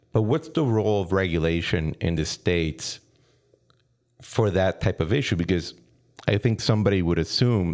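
Here a man is speaking. He has a Spanish accent. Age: 30s. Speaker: podcast host. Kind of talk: interview.

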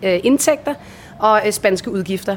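There is noticeable noise in the background. Over it, a woman speaks fairly slowly. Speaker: voice-over artist and former radio host. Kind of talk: interview. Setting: recorded on location in Bali.

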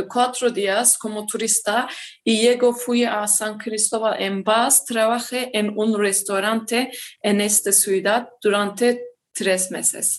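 A woman with a Turkish accent speaks very slowly at a fairly high pitch, her intonation fairly even. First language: Turkish (speaking Spanish). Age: 20s. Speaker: mining engineer. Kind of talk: interview, partly reading a script. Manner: halting, many hesitations.

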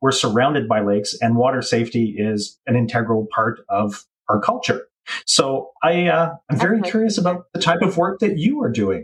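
With a Canadian accent, a man talks at a moderate pace in a fairly high, somewhat breathy voice that swings very widely in pitch. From Canada. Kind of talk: casual chat.

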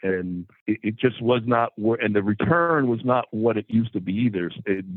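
A man with an American accent, a plain, everyday voice and ordinary pitch variation. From New Jersey. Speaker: car dealership president. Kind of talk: casual interview.

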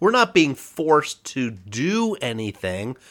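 A man speaks with a bright, sharp tone. The recording is very clean, with a silent background. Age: 40s. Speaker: podcast co-host. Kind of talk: casual chat.

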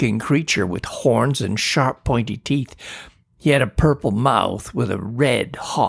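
The reading voice sounds natural. Pitch moves up and down an ordinary amount.

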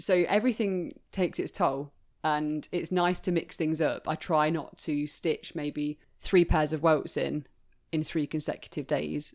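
At a fairly slow pace, a woman talks with a very deep, low pitch and fairly even intonation. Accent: English Midlands. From English Midlands, Leicester. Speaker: bespoke shoemaker. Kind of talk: interview.

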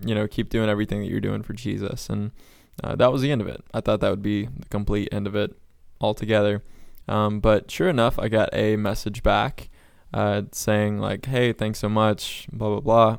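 An unremarkable speaking voice: a man with an American accent, fairly low pitch, fairly even intonation and a moderate pace. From Florida. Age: 20s. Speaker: evangelist. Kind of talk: casual chat.

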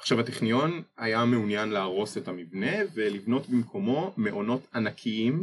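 In an unremarkable speaking voice, a man talks fairly slowly with lively intonation. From Israel, Ness Ziona. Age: 20s. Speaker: architecture student. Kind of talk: interview.

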